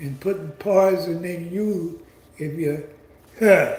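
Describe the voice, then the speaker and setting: In a room with audible echo, a man with a high voice speaks very slowly, his intonation fairly even. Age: 70s. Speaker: commentary channel host. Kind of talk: monologue commentary. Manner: halting.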